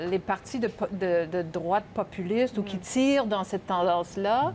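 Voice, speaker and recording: Light background noise sits behind a woman speaking at a fairly quick pace. Her pitch variation is ordinary. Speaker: political commentator. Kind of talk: panel discussion. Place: studio.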